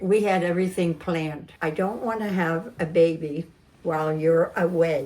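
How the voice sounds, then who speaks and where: Noticeable background noise runs under a woman's fairly low voice. She keeps a moderate pace and fairly even intonation. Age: 80s+. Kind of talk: interview answer.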